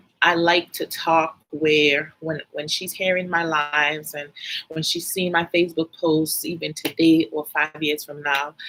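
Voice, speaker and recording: A woman with a Virgin Islands accent speaks at a fairly slow pace in a very deep, low pitch and a monotone, flat intonation. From US Virgin Islands, St Thomas. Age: 40s. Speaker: life and finance coach. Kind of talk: casual live stream talk. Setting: live video stream. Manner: soft-spoken.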